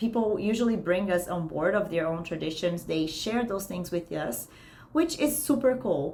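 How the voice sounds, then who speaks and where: A woman with a slight Brazilian accent speaks at a fairly slow pace in a medium pitch, her voice swinging very widely up and down. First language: Portuguese. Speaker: career consultant. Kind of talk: online class. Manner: casual, conversational.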